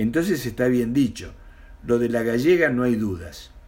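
At a moderate pace, a man with an Argentine accent speaks at a medium pitch with lively intonation. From Argentina, Mendoza. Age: 60s. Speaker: retired storyteller. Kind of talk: reading aloud.

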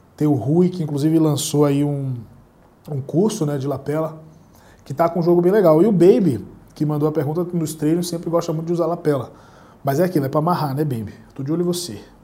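A man talks at a very fast pace with long, frequent pauses, his fairly high voice carrying a dark, mellow tone amid audible room echo. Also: ordinary pitch variation. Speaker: jiu-jitsu instructor and YouTuber. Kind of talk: solo Q&A monologue. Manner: casual, conversational.

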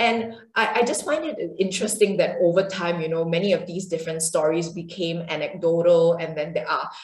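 Audible room echo and noticeable background noise surround a woman speaking at a moderate pace, her fairly low voice showing ordinary pitch variation. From Singapore. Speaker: yoga and qigong teacher. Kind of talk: interview; guided movement practice. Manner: hesitant, many fillers.

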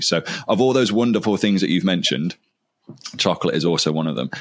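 This man talks at a very fast pace with an English Midlands accent. His intonation is lively, and there is vocal fry in his voice. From English Midlands (Lichfield). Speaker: podcast host, teacher. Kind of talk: interview, casual chat.

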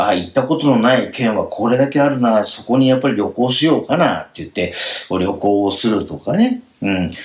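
A man of medium pitch talks at a fairly quick pace with lively intonation in a plain, everyday voice. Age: 50s. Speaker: end-of-life planning consultant and radio host. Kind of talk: radio talk show chat.

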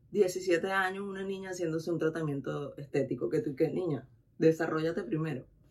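Over noticeable background noise, a woman speaks fairly quickly at a fairly low pitch. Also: ordinary pitch variation. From Venezuela. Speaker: massage therapist. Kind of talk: casual chat.

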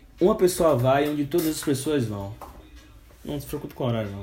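A male speaker goes along rather briskly while clear background noise can be heard. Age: 20s. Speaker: podcast host. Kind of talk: casual chat.

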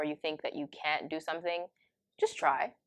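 A woman with a Toronto accent speaks at a moderate pace in a flat monotone. The recording is dry and close, with no echo. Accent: Canadian (Toronto area). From Canada, Ontario (Brampton). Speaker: university student. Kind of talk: casual interview. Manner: lots of fillers, laughs often.

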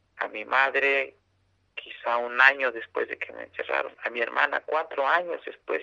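A man with a central Mexican accent speaks with big swings in loudness. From San Salvador Atenco, State of Mexico, central Mexico. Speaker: community land-defense activist. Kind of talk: interview testimony. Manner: halting, with repetitions.

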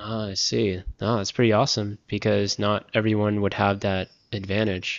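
Moving at a moderate pace, a man speaks in a monotone, flat intonation. His pitch sits fairly low. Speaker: podcast host. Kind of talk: interview. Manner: casual, laughs often.

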